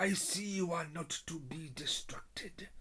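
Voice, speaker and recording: A man's put-on character voice, pitched fairly high. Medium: read story. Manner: calm, gentle, courteous.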